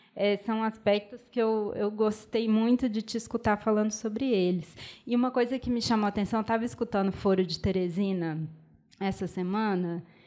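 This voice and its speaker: Her pitch is fairly high and her intonation fairly even, as a woman speaks with a Minas Gerais accent. She keeps a moderate pace. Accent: Minas Gerais (mineiro) accent, noticeable. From Belo Horizonte, Minas Gerais, Brazil. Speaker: film curator and debate mediator. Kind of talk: panel discussion after film screening. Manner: hesitant, many fillers and restarts.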